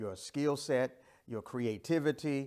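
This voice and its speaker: Speaking at a fairly slow pace with ordinary pitch variation, a man has an ordinary speaking voice in a very clean recording with a silent background. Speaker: pastor and life coach presenter. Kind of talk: interactive training lecture.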